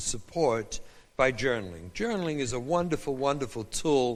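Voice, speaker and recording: A man with an English accent talks at a fairly high pitch and moderate pace. His intonation is lively, and the room echo is audible. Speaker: rabbi and parenting educator. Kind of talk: lecture. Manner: animated.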